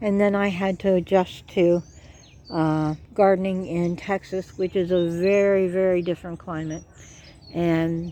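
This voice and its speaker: Against a quiet background, a woman with a plain, everyday voice and an American accent talks fairly slowly at medium pitch with fairly even intonation. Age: 60s. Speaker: gardening vlogger. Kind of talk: casual garden tour vlog. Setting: outdoors in garden.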